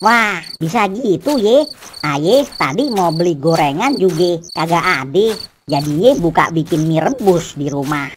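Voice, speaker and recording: In a cartoonish character voice at a middle pitch, the speaker goes at a fairly slow pace. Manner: teasing, relaxed.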